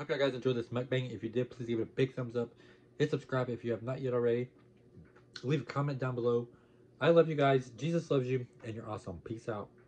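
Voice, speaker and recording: Somewhat breathy, a man races along at a very fast pace with fairly even intonation. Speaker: mukbang vlogger. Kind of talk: casual vlog chat. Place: home room. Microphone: phone near.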